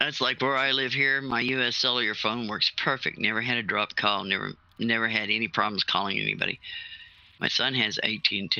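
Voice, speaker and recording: A man with an American accent speaks at a fairly quick pace in an ordinary speaking voice. His pitch is medium and his intonation fairly even. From US Southwest, New Mexico. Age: 60s. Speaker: retired salvage diver, gaming stream participant. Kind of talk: casual chat.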